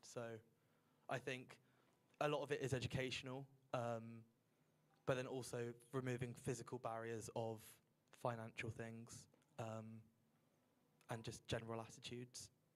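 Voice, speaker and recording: Speaking at a moderate pace with long, frequent pauses, a man with a strong Southern English accent keeps a monotone, flat intonation at a medium pitch. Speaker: student council member. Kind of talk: group discussion.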